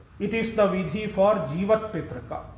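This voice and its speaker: In a room with audible echo, a man speaks at a very slow pace. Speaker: monk giving a religious talk. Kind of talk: religious discourse. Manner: explanatory, with hesitations.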